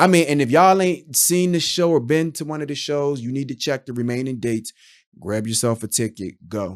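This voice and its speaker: The delivery has an animated tone and lively intonation at a moderate pace, on a very clean recording with a silent background. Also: man. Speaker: YouTube reviewer. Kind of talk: casual review monologue. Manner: loud.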